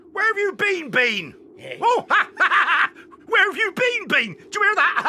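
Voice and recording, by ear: The speaker is a man using a put-on character voice. It sits at an extremely high pitch. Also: moderate pace.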